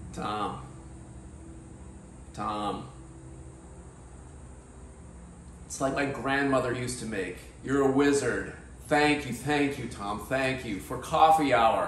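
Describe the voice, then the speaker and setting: Speaking at a very slow pace with long, frequent pauses, a man shows ordinary pitch variation and big swings in loudness, with audible room echo and light background noise. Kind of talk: comic skit banter. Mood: playful, mock-serious. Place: kitchen.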